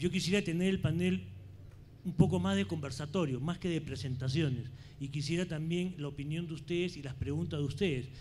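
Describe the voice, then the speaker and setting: There is vocal fry in this man's fairly high-pitched voice. He talks at a fairly quick pace with ordinary pitch variation. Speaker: panel moderator, finance executive. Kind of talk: panel moderation and speaker introductions.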